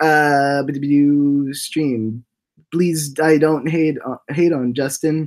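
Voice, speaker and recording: A man speaks with a fairly high pitch. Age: 20s. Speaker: voice actor and livestream host. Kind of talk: casual livestream chat. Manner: animated; halting.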